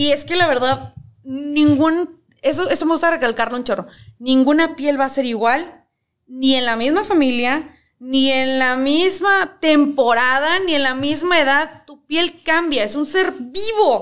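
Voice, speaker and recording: Here a woman speaks with a high pitch. Her pace is fairly slow, and her pitch varies in an ordinary way. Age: 30s. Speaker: cosmetologist. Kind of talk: casual chat.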